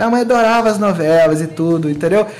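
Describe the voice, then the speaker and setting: Talking at a very fast pace with lively intonation, a man is heard with audible room echo and noticeable background noise. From Brazil, Minas Gerais (Muriaé). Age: 30s. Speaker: event organizer and photographer. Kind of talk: casual chat.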